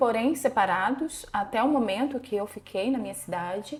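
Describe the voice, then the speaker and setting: A woman speaks at a fairly slow pace and fairly high pitch. Her voice is somewhat breathy, with lively intonation. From interior of São Paulo state, Brazil. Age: 40s. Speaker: psychologist. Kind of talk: interview testimony.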